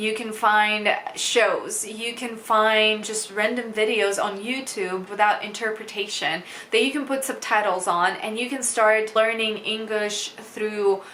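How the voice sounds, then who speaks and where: Through noticeable background noise, a woman speaks at a fairly slow pace in a Russian accent. Her pitch is fairly high and her intonation monotone and flat. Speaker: English teacher. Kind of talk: casual talk to camera.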